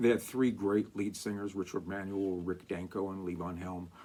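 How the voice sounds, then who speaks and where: An ordinary speaking voice from a man, fairly low in pitch, at a moderate pace. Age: 60s. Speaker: show host, music collector. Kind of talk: casual talk to camera. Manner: conversational, meandering.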